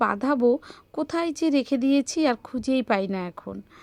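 Dry, close sound without echo around a woman's dark, mellow tone. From West Bengal, India. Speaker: family vlogger. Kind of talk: vlog narration.

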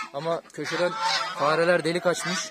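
The speech moves at a moderate pace with a dry sound with no echo, set against loud background noise. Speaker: farm vlogger. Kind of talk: casual vlog chat. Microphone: phone near.

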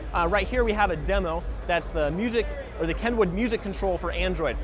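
A man at a fairly quick pace, dry sound with no echo, music in the background. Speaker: presenter. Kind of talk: trade show product walkthrough. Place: hall. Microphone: lapel.

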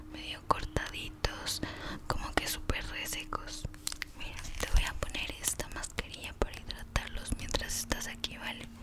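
Whispering, a woman speaks at a fairly slow pace. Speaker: ASMR creator. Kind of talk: ASMR roleplay, soft personal-attention talk; soft-spoken ASMR roleplay. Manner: soft-spoken, gentle, whispery. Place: home room. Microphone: studio mic.

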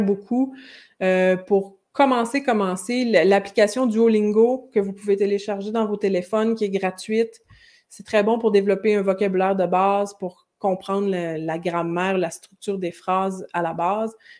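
Against a quiet background, the speaker talks with a Quebec accent at a fairly slow pace and with fairly even intonation. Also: woman. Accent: Québécois French. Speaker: French language teacher and YouTuber; French language teacher, YouTuber. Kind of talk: live-stream lesson with viewer Q&A. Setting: live stream. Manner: conversational, with frequent hesitations. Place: home room. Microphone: webcam.

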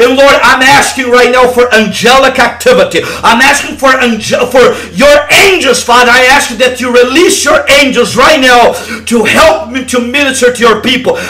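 With light background noise, a man speaks in a raised, projected voice at an extremely high pitch, with fairly even intonation and a moderate pace. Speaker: evangelist leading online deliverance prayer. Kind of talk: fervent deliverance prayer, commanding and declaring. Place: home room. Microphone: headset.

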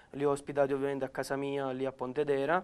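A man's voice with a fairly high pitch. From Campania, Naples province; Campania, Italy. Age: 20s. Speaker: amputee footballer and paratrooper; interviewee. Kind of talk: interview. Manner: halting, many repetitions and fillers. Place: studio. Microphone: lapel.

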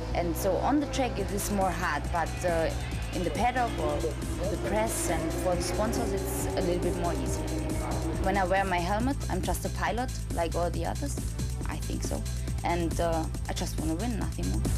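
Over loud music in the background, a woman speaks at a moderate pace. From Germany. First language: German. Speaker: motorcycle racer. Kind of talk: interview answer. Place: office.

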